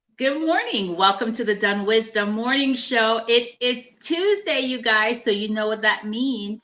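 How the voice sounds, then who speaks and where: A woman's fairly high, lively voice at a fairly slow pace, with noticeable background noise. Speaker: talk show host. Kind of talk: show opening to camera.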